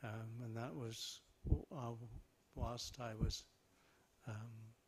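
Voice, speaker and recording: A man with an English accent speaks at a very slow pace, his medium pitch held in fairly even intonation. His voice is somewhat breathy, with big swings in loudness. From southern England. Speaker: Buddhist monk. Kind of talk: talk to audience. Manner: halting.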